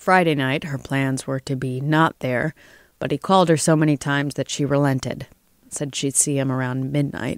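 In a very clean recording with a silent background and a dry, close sound with no echo, a woman speaks at a moderate pace in a very deep, low voice with a dramatic tone and fairly even intonation. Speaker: audiobook narrator. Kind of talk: literary audiobook reading of a crime story, scripted narration. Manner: measured, dramatic narration with character voices.

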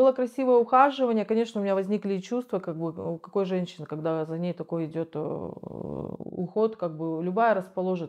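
A woman speaks fairly quickly, her pitch varying in an ordinary way, with quiet surroundings. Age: 40s. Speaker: rehab patient, recovering drug user. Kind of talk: interview testimony. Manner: halting. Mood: reflective, candid. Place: home room. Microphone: lapel.

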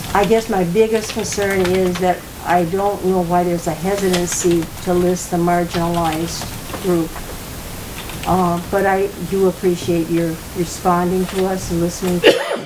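Over noticeable background noise and audible room echo, a woman speaks at a fairly low pitch with monotone, flat intonation. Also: moderate pace. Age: 80s+. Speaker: resident speaking at public comment. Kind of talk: public meeting discussion.

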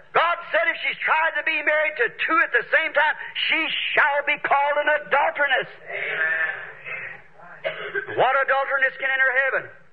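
A man at an extremely high pitch, fairly slow in pace, with ordinary pitch variation. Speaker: preacher. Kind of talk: sermon preaching to a congregation. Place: church.

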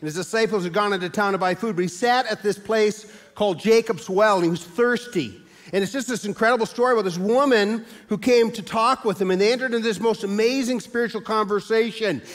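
A man speaks at a very fast pace in a high pitch. His pitch rises and falls in an ordinary way. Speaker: pastor. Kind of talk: sermon. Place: church.

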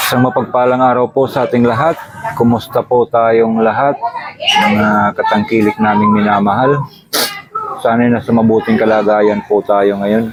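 There is noticeable background noise behind a man speaking at medium pitch. His intonation is fairly even and his pace moderate. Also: very even loudness. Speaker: vlogger. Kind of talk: casual vlog. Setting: outdoors by a busy roadside.

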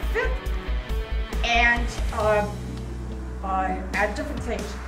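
Clear music plays behind the woman as she talks. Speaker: motorcyclist and author. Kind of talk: casual announcement to camera. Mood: cheerful, proud. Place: shop. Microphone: phone near.

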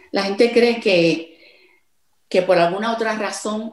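A woman's very slow speech with a Puerto Rican accent and ordinary pitch variation, over a quiet background with audible room echo. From Puerto Rico. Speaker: songwriter; interviewee. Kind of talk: interview. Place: home room. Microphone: video call.

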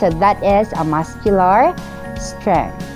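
Clear music can be heard in the background. Over it, a woman talks. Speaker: teacher. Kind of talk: lecture.

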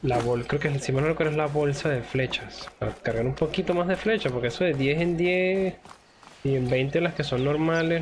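A man speaks at a fairly high pitch with ordinary pitch variation and very even loudness, over noticeable background noise. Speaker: gaming youtuber. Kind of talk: gameplay commentary. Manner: casual, exclamatory.

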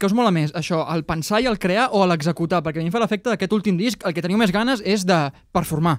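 A man speaks at a high pitch and a fairly quick pace with ordinary pitch variation. The sound is dry with no echo, and the background is quiet. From Catalonia. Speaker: podcast host. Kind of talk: mock test interview; interview question. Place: studio. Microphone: studio mic.

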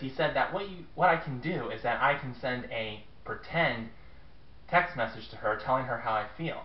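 A man talks with audible room echo in the recording. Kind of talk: scripted comedic monologue. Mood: sheepish, embarrassed. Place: home room. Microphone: webcam.

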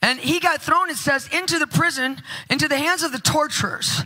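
At a moderate pace, a woman speaks in a raised, projected voice. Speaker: conference preacher. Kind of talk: sermon. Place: church. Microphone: handheld.

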